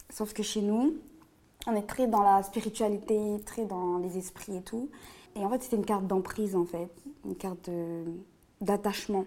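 At a moderate pace with long, frequent pauses, a woman talks at medium pitch in a dark, mellow tone with ordinary pitch variation. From La Réunion. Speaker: guest storyteller. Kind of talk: personal testimony in casual interview.

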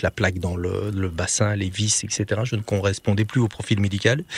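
A man talks at a moderate pace, his pitch fairly low and somewhat breathy. His intonation is fairly even, and the sound is dry and close with no echo. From Belgium. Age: 50s. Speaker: medic, writer and former soldier. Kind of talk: interview. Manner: hesitant.

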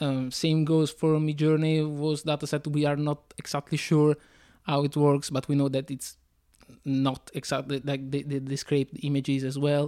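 Monotone, flat intonation from a man with a fairly high pitch and a dark, mellow tone, in an Italian accent at a moderate pace, on a very clean recording with a silent background. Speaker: comic book artist. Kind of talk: interview. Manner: hesitant, many fillers.

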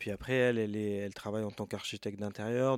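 A man's fairly low voice, monotone and flat, on a very clean recording with a silent background. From France, Rambouillet area. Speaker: musician and record shop owner. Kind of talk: casual interview. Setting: in his record shop.

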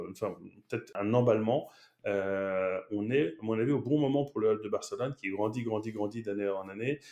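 A man at a fairly low pitch with a dark, mellow tone, ordinary pitch variation, and a moderate pace. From France, Paris. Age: 30s. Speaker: marketing executive. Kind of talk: interview. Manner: animated.

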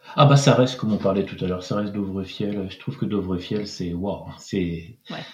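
With noticeable background noise, a man speaks at a moderate pace with hardly any pauses, ordinary pitch variation and big swings in loudness. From France, Pays de la Loire (Angers). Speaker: French expatriate in Norway. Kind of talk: casual interview chat. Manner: hesitant, many repetitions and fillers.

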